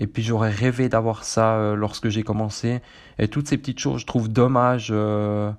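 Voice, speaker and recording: A man with a Swiss accent talks at a moderate pace and fairly low pitch, with fairly even intonation and a quiet background. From central Switzerland. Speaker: running podcast host. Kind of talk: solo podcast monologue. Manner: halting, many fillers.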